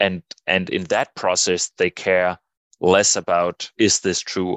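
A man with a Danish accent, dry and close with no echo, against a quiet background. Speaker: political scientist and psychologist. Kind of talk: interview. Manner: halting, many repeated words.

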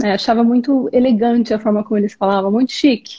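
Somewhat breathy, the voice has ordinary pitch variation. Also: woman. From Brazil, interior of Goiás. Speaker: speech therapist and immigrant. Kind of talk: interview. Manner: hesitant, many fillers.

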